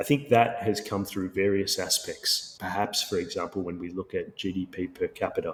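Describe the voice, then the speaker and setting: A man is speaking at a moderate pace. He has an Australian accent. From Sri Lanka and Australia. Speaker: tech company founder and CEO. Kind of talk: podcast interview.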